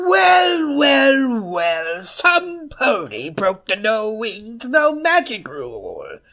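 A put-on character voice, fairly high in pitch, swings very widely. It moves at a very slow pace. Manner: mocking, playful.

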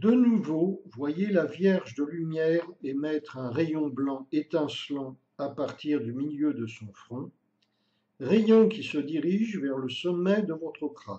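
Speaking at a very slow pace, a man uses a dark, mellow, gentle tone with a fairly high pitch and lively intonation. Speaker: meditation guide. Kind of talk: guided meditation. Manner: slow, calm, soothing, with long pauses between phrases; gentle, even and hypnotic, repeating the same phrases.

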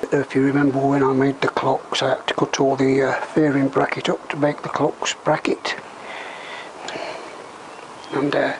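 A man speaks at a fairly slow pace. There is noticeable background noise. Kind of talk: tutorial. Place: workshop. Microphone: camera far.

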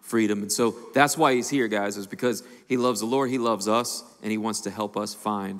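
Over a quiet background, a man with a fairly low pitch uses a plain, everyday voice and fairly even intonation. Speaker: lead pastor. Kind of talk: sermon-style introduction. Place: stage. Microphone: handheld.

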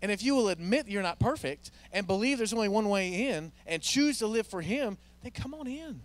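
A man talks at a fairly quick pace. The sound is dry with no echo. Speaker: pastor officiating a memorial. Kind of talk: sermon. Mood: warm, earnest, gently upbeat. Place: church. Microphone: handheld.

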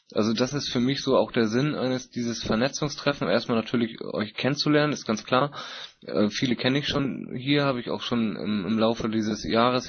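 Fairly quick pace and ordinary pitch variation in a normal speaking voice. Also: man. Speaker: meeting moderator. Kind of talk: moderated group discussion. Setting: online voice chat conference.

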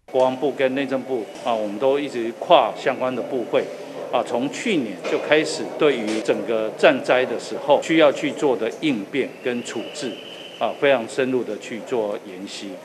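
A man talks fairly slowly, his pitch varying in an ordinary way. Noticeable background noise is present. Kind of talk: interview answer. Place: hall.

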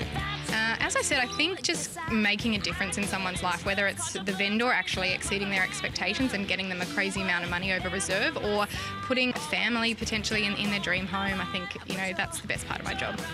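Clear music plays behind a woman who talks at a very fast pace with hardly any pauses. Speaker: auctioneer. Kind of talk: interview answer. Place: home room. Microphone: lapel.

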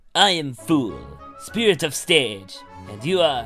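A man puts on a character voice at a fairly high pitch and a fairly slow pace. Clear music plays in the background.

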